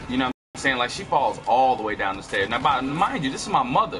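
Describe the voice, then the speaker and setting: Over music in the background, a man with a medium pitch speaks in an animated tone at a very fast pace. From California. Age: 30s. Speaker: gaming streamer. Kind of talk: casual live-stream storytelling. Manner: casual, filler-heavy; animated bursts during gameplay.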